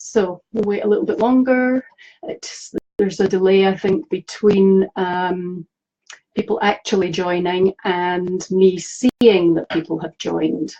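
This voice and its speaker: This woman has a Scottish accent and a medium pitch with ordinary pitch variation. She talks at a fairly slow pace in a dry, close sound with no echo. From Scotland. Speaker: animal communicator. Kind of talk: live stream talk to viewers. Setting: live video stream. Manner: hesitant, many fillers.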